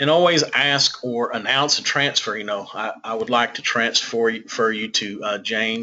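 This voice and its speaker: A man in a Southern US accent talks at a moderate pace, medium in pitch, with ordinary pitch variation. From US South. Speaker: senior living consultant. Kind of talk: webinar presentation.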